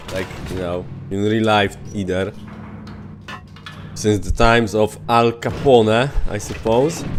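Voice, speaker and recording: Over music in the background and with audible room echo, a man with a Polish accent speaks at a very slow pace, with long, frequent pauses and ordinary pitch variation. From Poland. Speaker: video game streamer. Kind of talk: live gameplay commentary. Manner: casual, conversational with hesitations.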